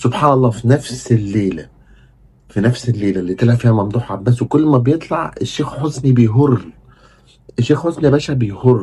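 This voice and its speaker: Moving at a fairly quick pace, a man talks at a medium pitch with ordinary pitch variation. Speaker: football commentator, YouTuber. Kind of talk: casual monologue, fan commentary. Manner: animated; kept down, not raising voice at night.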